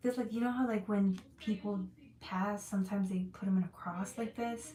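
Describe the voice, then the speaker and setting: Her voice is somewhat breathy, with a dark, mellow tone and a medium pitch. The woman speaks at a fairly quick pace with ordinary pitch variation. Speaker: tarot reader. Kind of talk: live tarot reading stream. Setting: livestream with chat. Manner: fast; animated.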